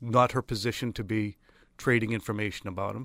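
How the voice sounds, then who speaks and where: A voice with an American accent speaks at a fairly quick pace, with vocal fry and a bright, sharp tone. The recording is very clean, with a silent background and a dry, close sound with no echo. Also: man. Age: 40s. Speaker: sports media personality. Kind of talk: casual chat.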